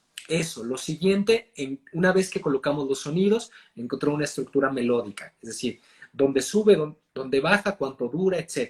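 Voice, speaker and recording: A man with a fairly high pitch, somewhat breathy, with lively intonation and a moderate pace. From Mexico. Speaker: actor and voice and accent coach. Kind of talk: interview answer.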